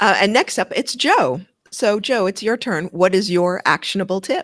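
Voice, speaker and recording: With a Canadian accent, a woman has an unremarkable speaking voice at medium pitch, moderate pace and ordinary pitch variation, in a dry, close sound with no echo. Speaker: podcast co-host. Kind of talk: casual podcast outro chat. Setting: live-streamed video podcast recording.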